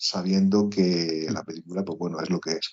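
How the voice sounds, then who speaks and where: A man with a Murcian accent speaks with ordinary pitch variation. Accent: Murcian accent, noticeable. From Murcia, Spain. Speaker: podcast co-host, film critic. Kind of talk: casual podcast chat about films.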